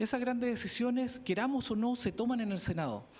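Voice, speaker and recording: A man's extremely high pitch with fairly even intonation at a moderate pace. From southern Chile, Araucanía. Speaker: political candidate. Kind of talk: campaign pitch.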